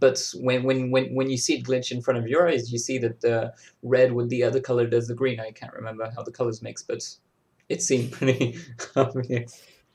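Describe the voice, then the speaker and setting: Somewhat breathy and medium in pitch, a man talks at a fairly quick pace with monotone, flat intonation and big swings in loudness. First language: French. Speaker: digital glitch artist. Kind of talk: casual chat. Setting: video call. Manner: halting.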